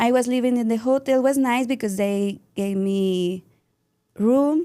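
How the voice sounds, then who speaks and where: A woman with a Mexican accent, a high voice with a dark, mellow tone, ordinary pitch variation and a fairly slow pace, on a very clean recording with a silent background. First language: Spanish. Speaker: dance and yoga teacher. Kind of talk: interview. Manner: halting.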